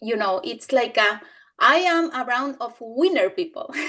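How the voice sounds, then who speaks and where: In a Spanish accent, a woman projects a raised, high-pitched voice with a bright, sharp tone and lively intonation. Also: quiet background. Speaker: business team member. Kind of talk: testimony in a training session. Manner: halting.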